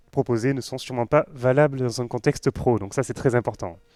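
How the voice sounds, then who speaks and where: Music plays in the background as a man speaks at a fairly quick pace. The sound is dry and close, with no echo. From western France (Nantes). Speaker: web developer, conference speaker. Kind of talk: tech conference talk. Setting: stage with live audience. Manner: casual, joking, with many fillers.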